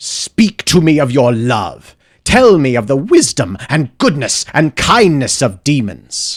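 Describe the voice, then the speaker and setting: A man's booming put-on character voice at a fairly high pitch and fairly slow pace. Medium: read story. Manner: grave, solemn.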